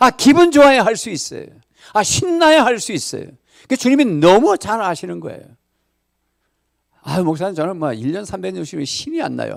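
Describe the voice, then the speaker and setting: The speaker uses an animated tone with very wide pitch swings, keeping a moderate pace broken by long, frequent pauses. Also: man, high pitch for a man, big swings in loudness. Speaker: pastor. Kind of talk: sermon. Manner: conversational, animated.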